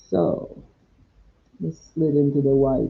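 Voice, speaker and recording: Soft-spoken, relaxed tone at a very slow pace. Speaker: watercolor painting instructor. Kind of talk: live paint-along tutorial. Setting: live stream at home. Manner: relaxed, thinking aloud.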